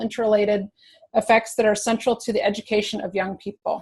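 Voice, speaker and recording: Talking at a fairly quick pace, a woman with an American accent sounds somewhat breathy at a fairly high pitch. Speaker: museum educator. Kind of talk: webinar presentation. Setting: online webinar. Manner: hesitant, many fillers.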